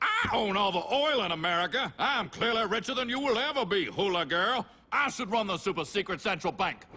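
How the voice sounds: A man puts on a character voice, high-pitched and bright with a sharp tone, using lively intonation at a fairly quick pace.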